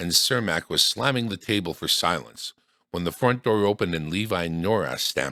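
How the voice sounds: Quiet surroundings behind a natural reading voice.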